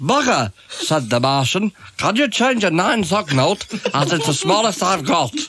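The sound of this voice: The voice is an unforced reading voice. It reads throughout.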